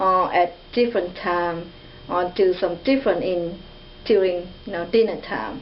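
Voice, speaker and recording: A woman's medium-pitched voice at a fairly slow pace, with ordinary pitch variation and noticeable background noise. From Vietnam. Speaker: international student. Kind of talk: interview. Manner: halting.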